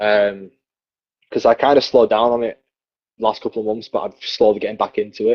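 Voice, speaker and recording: A man talks at a fairly quick pace with a Yorkshire accent. He leaves long, frequent pauses. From northern England, Leeds (West Yorkshire). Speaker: professional wrestler. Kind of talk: casual interview chat.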